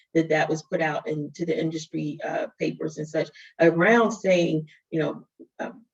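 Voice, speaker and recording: A woman's somewhat breathy voice carries through. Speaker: DEI leader at a tech company. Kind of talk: webinar panel discussion. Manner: fast.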